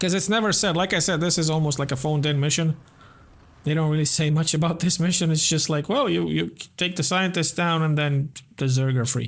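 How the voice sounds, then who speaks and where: Quiet and very even in loudness, a man with a fairly high pitch and ordinary pitch variation talks at a fairly quick pace with long, frequent pauses while music plays in the background. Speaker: gaming YouTuber. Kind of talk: gameplay commentary.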